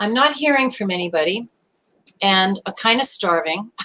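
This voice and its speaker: With an American accent, a woman speaks at a moderate pace in a bright, sharp tone with lively intonation. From US Northeast (Brooklyn, New York). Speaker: online show host. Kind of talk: live stream talk.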